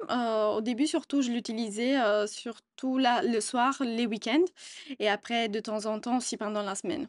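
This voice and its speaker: In an Italian accent, a woman talks at a fairly slow pace and a fairly high pitch, with ordinary pitch variation. The background is quiet, and the sound is dry and close with no echo. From Italy. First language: Italian (speaking French). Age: 20s. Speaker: customer service employee. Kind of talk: interview testimony. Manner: hesitant, many fillers.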